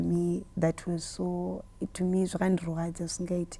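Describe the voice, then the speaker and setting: A woman with a Zimbabwean accent on a very clean recording with a silent background. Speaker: gospel musician. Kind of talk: interview answer.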